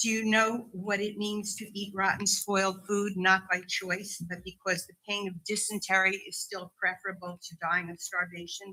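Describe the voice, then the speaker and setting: A woman speaks in a bright, sharp tone with flat, monotone intonation, her loudness swinging widely and hardly any pauses between words. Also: medium pitch for a woman, moderate pace. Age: 70s. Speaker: psychotherapist speaking at public comment. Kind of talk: public comment speech at council meeting. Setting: council meeting with audience.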